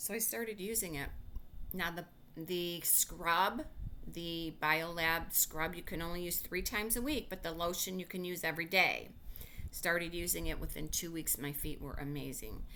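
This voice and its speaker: The voice is bright and sharp in tone, moving at a moderate pace with ordinary pitch variation. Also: woman. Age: 60s. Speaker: skincare sales consultant. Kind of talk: casual update to sales team. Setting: recorded video message. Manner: animated; hesitant, many fillers.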